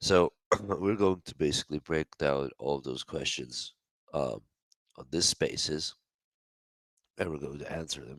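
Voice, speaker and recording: Very deep and low, a man's voice carries vocal fry and ordinary pitch variation. He goes at a fairly slow pace with long, frequent pauses. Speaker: online spiritual teacher and face reader. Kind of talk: live audio space Q&A talk. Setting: online audio space. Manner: halting, with many fillers.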